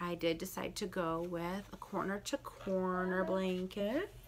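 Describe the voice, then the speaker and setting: Her intonation stays fairly even as this woman talks in a medium pitch. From Michigan. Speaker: knitting and crochet podcaster. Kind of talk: casual talk to camera. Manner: fast.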